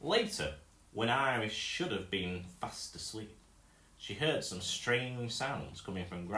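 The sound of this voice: Unforced reading, full of lively intonation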